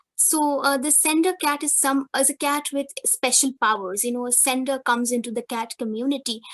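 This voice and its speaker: A woman speaks in a Bengali accent at a high pitch. She uses ordinary pitch variation and hardly any pauses. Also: moderate pace, dry, close sound with no echo. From India, West Bengal. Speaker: academic presenter. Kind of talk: conference presentation.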